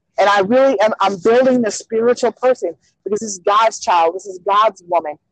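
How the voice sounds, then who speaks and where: Heard in a dry, close sound with no echo, a woman has an ordinary speaking voice. Her pitch is fairly high and her pace moderate. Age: 30s. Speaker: speaker and advocate for abused women. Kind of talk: interview about personal life.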